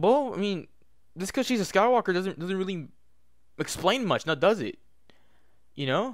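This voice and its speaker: A man talks at a high pitch, with long, frequent pauses. The recording is very clean, with a silent background. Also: lively intonation, moderate pace. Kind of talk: casual movie review rant to camera. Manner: stuttering.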